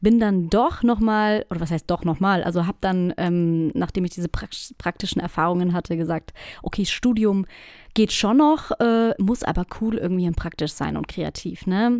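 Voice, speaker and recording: In a very clean recording with a silent background and a dry, close sound with no echo, a woman at a medium pitch speaks at a moderate pace with ordinary pitch variation. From southwestern Germany, near Stuttgart. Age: 30s. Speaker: podcast host, personal branding consultant. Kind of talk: solo podcast monologue. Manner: casual, many filler sounds.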